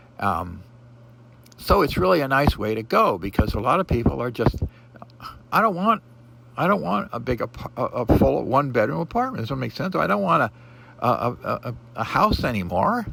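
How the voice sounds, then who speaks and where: With an American accent, a man speaks at a medium pitch that moves in very wide swings. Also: moderate pace. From Pacific Northwest US (Portland, Oregon). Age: 70s. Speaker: vlogger. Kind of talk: casual monologue. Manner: halting, many fillers.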